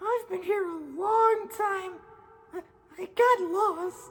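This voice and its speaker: This put-on character voice sits at an extremely high pitch and moves at a very slow pace. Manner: timid, hesitant.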